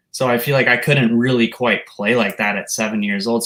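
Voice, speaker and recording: Using a plain, everyday voice, a man talks at a fairly quick pace and a medium pitch. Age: 20s. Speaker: rock guitarist. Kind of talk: interview.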